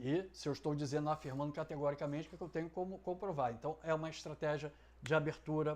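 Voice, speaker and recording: A man speaks in an unremarkable speaking voice, pitched fairly high. His pace is fairly quick and his intonation fairly even. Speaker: essay writing teacher. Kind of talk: tutorial.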